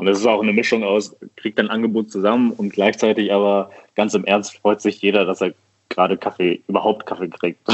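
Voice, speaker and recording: Intonation stays monotone and flat. A man speaks at a fairly quick pace. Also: fairly low pitch for a man. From Düsseldorf, western Germany. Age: 30s. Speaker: coffee roaster. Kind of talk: casual chat. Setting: phone call.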